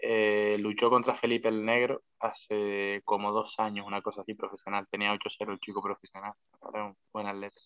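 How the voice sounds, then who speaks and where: Here a man speaks with a fairly low pitch. His delivery is monotone and flat, at a moderate pace. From Canary Islands, La Palma. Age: 20s. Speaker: professional MMA fighter. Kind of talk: casual interview chat.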